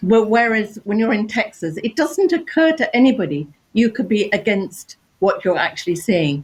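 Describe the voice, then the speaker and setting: A woman speaks at a moderate pace in a fairly high, somewhat breathy voice. Her pitch swings very widely. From England. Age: old. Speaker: artist. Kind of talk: panel discussion.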